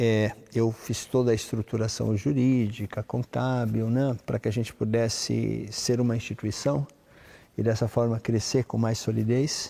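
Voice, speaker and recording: Speaking at a fairly slow pace, a man with a medium pitch and a dark, mellow tone keeps a very even loudness and a flat, monotone intonation. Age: 60s. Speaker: conductor and music institute director. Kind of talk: interview. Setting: concert hall.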